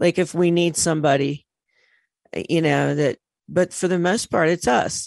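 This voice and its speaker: Against a quiet background, a woman with a fairly low pitch and an unremarkable speaking voice talks at a moderate pace with fairly even intonation and very even loudness, the sound dry and close with no echo. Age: 60s. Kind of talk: radio interview.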